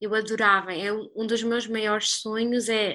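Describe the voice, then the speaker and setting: Fairly high in pitch and bright, sharp in tone, a woman speaks at a fairly slow pace with monotone, flat intonation. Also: quiet background. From Portugal. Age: 20s. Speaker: copywriter living abroad. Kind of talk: casual interview chat.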